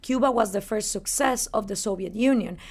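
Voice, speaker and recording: In a very clean recording with a silent background, a woman with a Spanish accent speaks at a moderate pace, her fairly high pitch showing ordinary variation. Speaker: libertarian activist and radio host. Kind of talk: interview. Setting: in person in New York.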